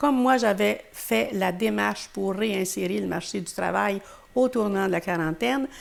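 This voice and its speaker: A woman with a Quebec accent and vocal fry, at a medium pitch, a moderate pace and ordinary pitch variation. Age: 80s+. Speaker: retired teacher. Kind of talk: interview. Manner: halting.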